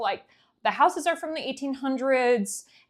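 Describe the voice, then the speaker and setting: A woman with a slight New England accent, on a very clean recording with a silent background. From New England, US (Connecticut). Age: 20s. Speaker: vlogger. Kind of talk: casual monologue.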